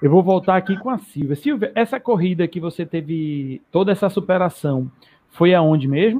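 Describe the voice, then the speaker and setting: Lively intonation from a man with a high pitch, at a moderate pace. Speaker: running channel host. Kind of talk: casual live stream chat. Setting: online live stream.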